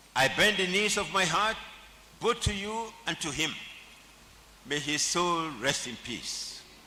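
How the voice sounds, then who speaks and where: Over noticeable background noise and audible room echo, a man with a high voice talks at a fairly slow pace with lively intonation and long, frequent pauses. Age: 70s. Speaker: honorary degree recipient, senior lawyer. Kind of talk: acceptance speech. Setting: convocation ceremony. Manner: formal.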